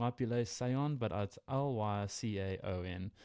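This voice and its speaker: A man with a South African accent speaks at a fairly low pitch with ordinary pitch variation and a dark, mellow tone. The sound is dry and close with no echo, on a very clean recording with a silent background. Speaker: wildlife podcast co-host. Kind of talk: casual educational podcast chat. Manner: conversational, hesitant with fillers.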